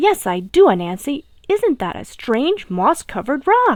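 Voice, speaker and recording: A woman uses a put-on character voice with a high pitch and very wide pitch swings. She talks at a moderate pace. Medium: read story. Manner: friendly, gullible.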